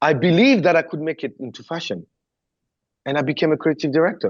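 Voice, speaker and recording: The speaker has a French accent and talks at a very fast pace with ordinary pitch variation. The background is quiet. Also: man. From southern France. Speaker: former pop star backing dancer, choreographer and creative director. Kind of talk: interview.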